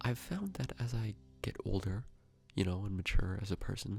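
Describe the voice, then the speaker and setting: Someone whispers quietly at a moderate pace. Music plays in the background. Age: young. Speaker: youtuber. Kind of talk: casual vlog monologue. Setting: at home by a gas fire at night. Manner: quiet, near whisper; halting, many fillers.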